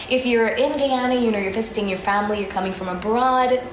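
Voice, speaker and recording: Over noticeable background noise, a woman speaks in a high pitch with an upbeat tone and ordinary pitch variation. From Guyana. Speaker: radio presenter. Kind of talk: radio DJ talk.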